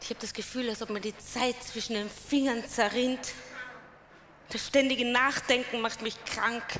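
The voice moves at a fairly slow pace in a flat monotone over light background noise. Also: woman, high pitch for a woman. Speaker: speaker. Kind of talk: dramatic monologue. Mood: worried, anxious. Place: stage. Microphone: headset.

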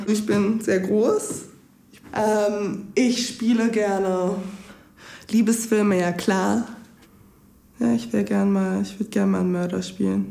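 Playful in tone, a woman talks at a very slow pace with long, frequent pauses. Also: very even loudness. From Lower Saxony, Germany. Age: 20s. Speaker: acting school graduate. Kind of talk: self-introduction to camera. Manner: casual, playful. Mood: playful, light. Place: studio.

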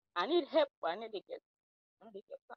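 A woman speaks in a dry sound with no echo over a quiet background. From Sierra Leone. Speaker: reality show contestant. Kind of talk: audition interview. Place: open country. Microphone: phone near.

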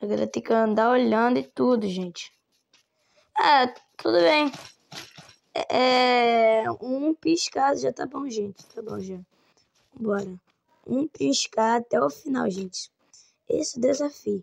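Long, frequent pauses break up a woman's very slow speech. Her fairly high voice sounds dry and close, with no echo. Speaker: gaming streamer. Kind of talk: gameplay commentary. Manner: animated.

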